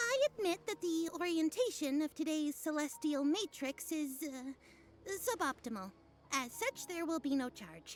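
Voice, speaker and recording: Someone uses a put-on character voice with a high pitch, speaking at a moderate pace. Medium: video game. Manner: grandiose, archaic phrasing.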